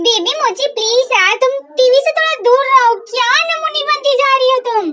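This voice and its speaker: Using a put-on character voice, a woman speaks at an extremely high pitch with ordinary pitch variation. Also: moderate pace. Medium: fan dub. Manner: serious, irritable.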